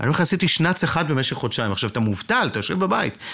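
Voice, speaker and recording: This man's tone is bright and sharp. His intonation is lively. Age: 40s. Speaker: advertising executive. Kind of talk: casual chat.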